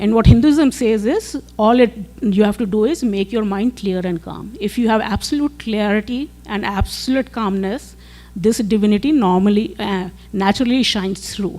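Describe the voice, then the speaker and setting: Noticeable background noise beneath speech of moderate speed and ordinary pitch variation. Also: woman, fairly high pitch for a woman. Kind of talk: presentation to teachers. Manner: hesitant with fillers.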